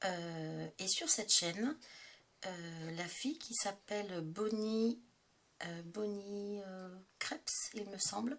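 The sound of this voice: This woman's voice sits at a medium pitch, carries vocal fry, and shows ordinary pitch variation.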